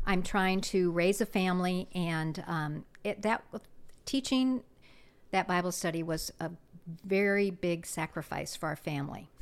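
This is a normal speaking voice with an American accent, delivered at a fairly slow pace with ordinary pitch variation. The recording is very clean, with a silent background. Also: woman, medium pitch for a woman. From US Midwest, South Dakota. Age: 60s. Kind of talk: testimony.

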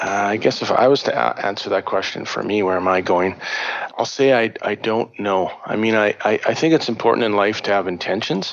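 A man with a fairly low pitch speaks at a fairly quick pace over noticeable background noise. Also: ordinary pitch variation. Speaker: psychotherapist and shamanism teacher. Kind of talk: interview conversation. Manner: halting, many repetitions and fillers; natural, unaffected.

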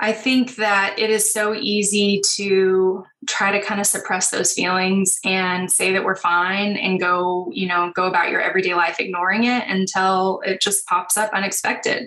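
A woman talks in a plain, everyday voice at a medium pitch and moderate pace, with hardly any pauses, very even loudness and fairly even intonation. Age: 30s. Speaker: animal rescue founder and counseling graduate student. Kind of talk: interview.

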